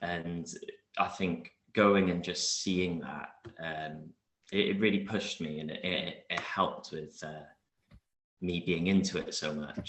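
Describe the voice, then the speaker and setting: Speaking in a south Wales accent, a man with a very deep, low voice talks fairly slowly in a flat monotone, with long, frequent pauses. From Wales (Newport area). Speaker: martial arts competitor. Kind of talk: interview.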